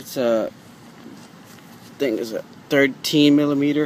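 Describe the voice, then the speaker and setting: A man's fairly high, monotone voice with flat intonation at a very slow pace, over noticeable background noise. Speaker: DIY car repair video maker. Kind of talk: tutorial. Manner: halting, repeats words; casual.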